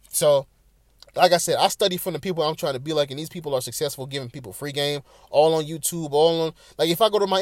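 Speaking very fast, a man uses a fairly high pitch that varies in an ordinary way. The background is silent and the recording very clean. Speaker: podcast host. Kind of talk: solo casual rambling monologue. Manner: casual, rambling, unscripted.

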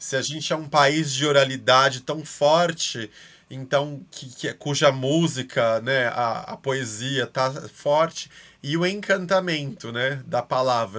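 With a normal speaking voice, a man talks at a fairly high pitch, his pitch varying in an ordinary way. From Brazil. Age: 30s. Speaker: art educator. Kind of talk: casual chat.

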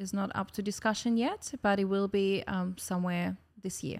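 A woman speaks in a cheerful tone with a Russian accent, her pitch in the medium range. Her intonation is monotone and flat, at a moderate pace. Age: young. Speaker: pageant winner and dance studio director. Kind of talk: casual chat. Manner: cheerful, laughs often.

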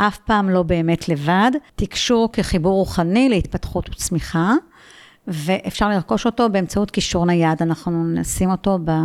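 A woman speaks in a normal speaking voice at a medium pitch and moderate pace, with ordinary pitch variation and very even loudness, on a very clean recording with a silent background. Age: 60s. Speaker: philosophy lecturer and mindfulness teacher. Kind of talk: casual interview. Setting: at her home.

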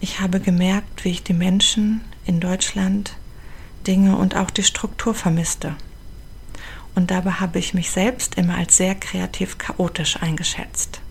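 Over noticeable background noise, a woman talks fairly slowly at a medium pitch, her intonation monotone and flat, with long, frequent pauses. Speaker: podcast host and charity founder. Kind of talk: personal narration.

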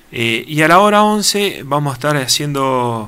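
A man speaks over noticeable background noise. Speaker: fire brigade chief. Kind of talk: radio interview.

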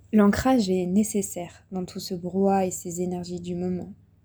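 At a fairly slow pace, a woman speaks in a somewhat breathy voice. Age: 20s. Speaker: spiritual coach and podcaster. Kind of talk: guided reflection monologue. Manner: hesitant, many fillers.

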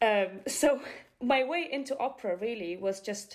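A woman with a Bulgarian accent is heard on a very clean recording with a silent background. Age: young. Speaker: opera répétiteur (vocal coach pianist). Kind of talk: interview.

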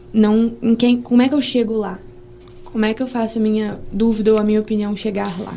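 Over noticeable background noise, a woman talks fairly quickly at a fairly high pitch in a monotone, flat delivery. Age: 20s. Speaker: medical student, student association president. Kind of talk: casual interview.

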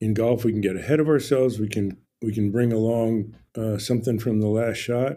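Speaking with an American accent, a man has a medium pitch, a dark, mellow tone and fairly even intonation. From New Jersey. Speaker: golf mental game coach. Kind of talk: interview. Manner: calm.

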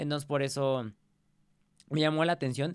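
A man speaks with a Mexican accent at a fairly quick pace. His pitch sits fairly high for a man. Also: very clean recording, silent background. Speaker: podcast host. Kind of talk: casual chat. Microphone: new pop filter on microphone.

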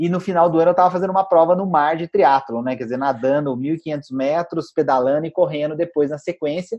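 A man with a normal speaking voice and fairly high pitch talks at a fairly quick pace, with hardly any pauses and ordinary pitch variation. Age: 40s. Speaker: financial educator and author. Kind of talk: interview chat.

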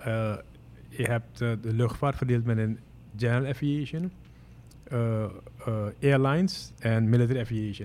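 Long, frequent pauses break up this man's speech. He talks at a moderate pace with a medium pitch. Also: ordinary pitch variation. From Suriname (Moengo). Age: 50s. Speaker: airline pilot. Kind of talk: interview.

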